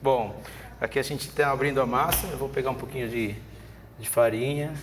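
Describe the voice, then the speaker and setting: Against noticeable background noise and audible room echo, a man speaks at medium pitch with fairly even intonation. His loudness swings widely. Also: moderate pace. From Venezuela. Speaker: chef and cooking professor. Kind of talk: cooking demonstration with casual chat. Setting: video podcast studio with cooking set.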